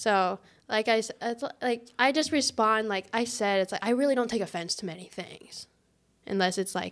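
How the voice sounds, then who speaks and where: A woman with a Midwestern American accent and fairly high pitch, in a very clean recording with a silent background. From US Midwest (Farmington, Missouri). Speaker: church staff member, podcast co-host. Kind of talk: casual chat.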